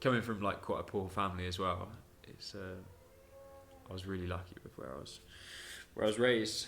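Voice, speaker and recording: In a southern English accent, a man with a very deep, low pitch talks at a fairly quick pace with ordinary pitch variation, big swings in loudness and long, frequent pauses, amid audible room echo. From southern England. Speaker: podcast host. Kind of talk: personal storytelling monologue. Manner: casual, with many fillers.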